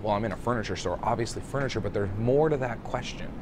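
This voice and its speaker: A man talks at a fairly low pitch. The recording has audible room echo and noticeable background noise. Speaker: restaurant consultant. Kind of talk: casual video monologue. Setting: airport. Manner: quiet.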